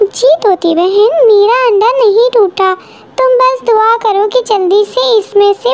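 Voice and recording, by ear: Using a cartoonish character voice at an extremely high pitch, a woman speaks at a moderate pace over light background noise.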